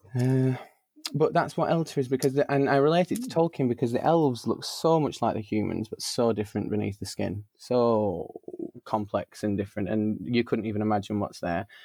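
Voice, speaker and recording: A man's dark, mellow voice in a Lancashire accent, fairly quick, with lively intonation. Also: medium pitch for a man. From northern England, Burnley, Lancashire. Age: 20s. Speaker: drag performer. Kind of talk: casual chat. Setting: home studio. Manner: animated.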